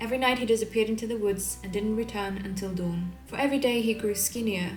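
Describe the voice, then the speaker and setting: A woman talks while music plays in the background. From Sweden. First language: Swedish. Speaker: illustrator. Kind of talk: folk tale reading.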